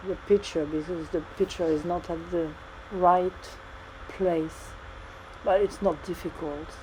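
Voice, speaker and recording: Through noticeable background noise, a woman with a French accent speaks at a fairly slow pace in a monotone, flat way, with long, frequent pauses. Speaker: 3D modeling tutor. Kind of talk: tutorial. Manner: halting.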